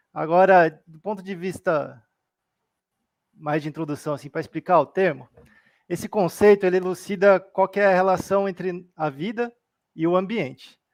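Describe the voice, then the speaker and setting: A man's high voice with fairly even intonation, long and frequent pauses, and big swings in loudness, on a very clean recording with a silent background. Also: moderate pace. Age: 30s. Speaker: Buddhist study presenter. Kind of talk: livestream study talk.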